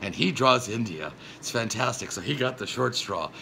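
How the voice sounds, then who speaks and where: A man speaks with lively intonation over noticeable background noise. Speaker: comedic web show host. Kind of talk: casual comedic monologue. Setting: sitting indoors. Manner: fast; halting, many fillers and restarts.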